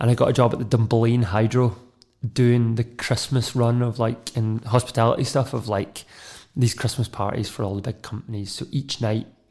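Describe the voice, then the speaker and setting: In a very clean recording with a silent background, a man speaks in a west of Scotland accent at a moderate pace. His medium-pitched voice is somewhat breathy, with fairly even intonation. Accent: west of Scotland Scottish. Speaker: media and radio producer. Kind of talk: personal testimony.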